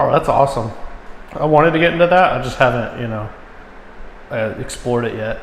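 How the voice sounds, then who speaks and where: Over noticeable background noise and audible room echo, a man talks at a fairly quick pace with long, frequent pauses. His pitch is medium, with ordinary pitch variation. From Alabama. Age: 20s. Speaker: military veteran and wrestling coach. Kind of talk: casual chat.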